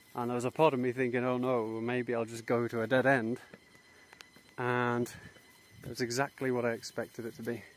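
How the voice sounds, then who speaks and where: Monotone, flat intonation from a man at a medium pitch, fairly quick in pace yet with long, frequent pauses, over noticeable background noise. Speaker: travel vlogger. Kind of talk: travel vlog narration. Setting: outdoors.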